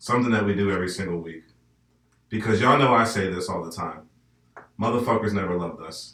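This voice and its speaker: A man speaks at a very fast pace, with long, frequent pauses. His loudness swings widely. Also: fairly low pitch for a man, ordinary pitch variation. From northern US. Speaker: podcast host. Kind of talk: casual chat.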